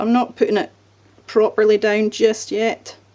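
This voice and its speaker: A woman is speaking with a Scottish accent. Her pace is fairly slow. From Scotland. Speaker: card-making crafter. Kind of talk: crafting tutorial. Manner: casual, relaxed.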